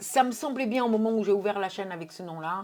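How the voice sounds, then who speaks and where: A woman speaks with a Portuguese accent in a dark, mellow tone. Her pitch varies in an ordinary way. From Portugal. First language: Portuguese (speaking French). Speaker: YouTuber. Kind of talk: casual Q&A video. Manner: hesitant, many filler words.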